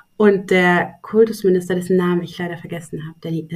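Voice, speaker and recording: Somewhat breathy speech from a woman, fairly low in pitch. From Saxony-Anhalt, Germany. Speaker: publishing program director and literary critic. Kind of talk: interview conversation. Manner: hesitant with many fillers; long complex sentences.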